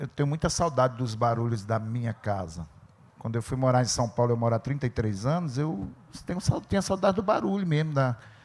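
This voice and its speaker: Somewhat breathy, a man talks at a fairly quick pace with a medium pitch that swings very widely. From Brazil, Sertânia, Pernambuco backlands. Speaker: writer. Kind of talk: panel discussion at literary festival. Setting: stage with audience.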